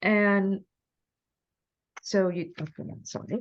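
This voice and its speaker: Over a quiet background, a woman talks very slowly at a medium pitch. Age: 60s. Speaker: book club host. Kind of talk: author interview. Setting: teleconference.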